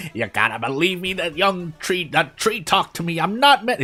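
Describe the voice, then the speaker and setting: Putting on a character voice, a man talks at a moderate pace in a high, raspy voice. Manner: desperate, pleading to be believed.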